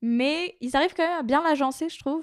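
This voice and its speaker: A woman talks with ordinary pitch variation in a very clean recording against a silent background. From Brittany, near Brest, France. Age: 20s. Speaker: podcast intern and co-host. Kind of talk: casual chat.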